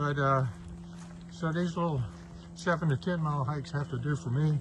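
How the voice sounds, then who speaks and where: A man is speaking. His voice is somewhat breathy. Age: 70s. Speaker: senior hiker vlogger. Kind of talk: casual vlog narration while hiking. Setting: outdoors on a trail. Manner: halting, many fillers.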